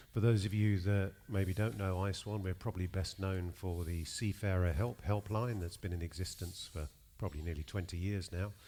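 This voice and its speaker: Speaking with a British accent, a man has a very deep, low pitch and a dark, mellow tone, with fairly even intonation at a moderate pace and hardly any pauses. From UK. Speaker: charity director. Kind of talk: panel discussion. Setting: stage with live audience.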